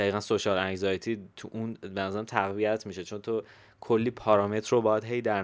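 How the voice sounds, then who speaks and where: It's a man with an ordinary speaking voice, fairly low in pitch, talking at a fairly quick pace. The recording is very clean, with a silent background. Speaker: podcast host. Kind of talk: casual chat.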